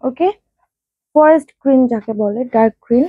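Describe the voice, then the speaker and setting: A woman speaks with a high pitch and ordinary pitch variation. The recording sounds dry and close, with no echo. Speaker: online clothing seller. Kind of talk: live sales pitch. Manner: casual, mixes in English words.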